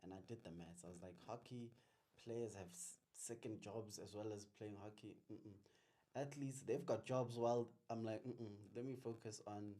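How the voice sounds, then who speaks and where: A man with a South African accent speaks in a dark, mellow tone. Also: medium pitch for a man, ordinary pitch variation, moderate pace. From Limpopo, South Africa. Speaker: business accountant and tax practitioner. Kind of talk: interview answer.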